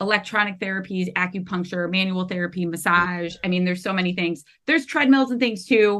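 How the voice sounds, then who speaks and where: Speaking at a fairly quick pace with hardly any pauses, a woman has a medium pitch and ordinary pitch variation. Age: 30s. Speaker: podcast host and veterinary technician. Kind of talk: casual interview chat. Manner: animated.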